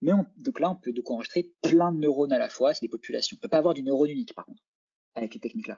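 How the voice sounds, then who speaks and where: Talking at a very fast pace, a man with a high voice makes very wide pitch swings and big swings in loudness. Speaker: lecturer and neuroscience PhD student. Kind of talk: lecture.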